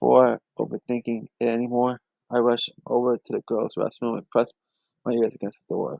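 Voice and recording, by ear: Over a quiet background, the recording captures reading aloud in a natural voice.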